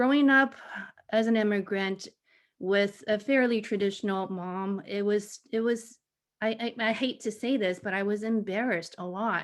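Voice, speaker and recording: In a normal speaking voice, a woman with a fairly high pitch talks at a moderate pace. Her intonation is fairly even, in a very clean recording with a silent background. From Taiwan, raised in the US from childhood. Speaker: education faculty panelist, former teacher. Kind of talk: panel discussion.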